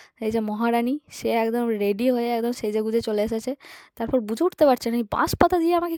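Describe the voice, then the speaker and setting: A woman's fairly high-pitched voice has a dark, mellow tone and ordinary pitch variation, with a dry, close sound and no echo. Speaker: vlogger. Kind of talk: casual vlog narration. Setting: at home in a village.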